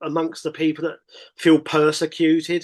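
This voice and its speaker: A man speaks with an English accent at a fairly high pitch against a quiet background. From Britain. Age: 50s. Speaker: English teacher and record label interviewer. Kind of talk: casual chat. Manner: halting.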